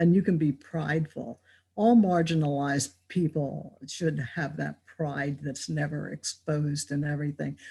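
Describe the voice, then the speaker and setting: A woman speaks at a very deep, low pitch and a fairly slow pace, her voice somewhat breathy with a dark, mellow tone. Pitch variation is ordinary, and the recording is very clean with a silent background. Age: 70s. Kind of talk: casual interview. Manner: animated.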